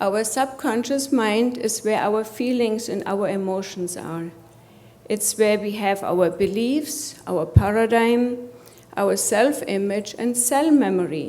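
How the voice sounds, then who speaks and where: A German accent at a very slow pace, with audible room echo and noticeable background noise. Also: woman, fairly high pitch for a woman, ordinary pitch variation. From Germany. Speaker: coach and healthcare executive. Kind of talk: conference presentation.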